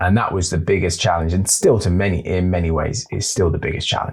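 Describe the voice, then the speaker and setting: This man's very deep, low voice is somewhat breathy, with ordinary pitch variation. He speaks at a fairly quick pace with hardly any pauses. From England, Norwich. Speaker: actor and voiceover artist. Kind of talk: podcast interview. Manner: hesitant, repeats words.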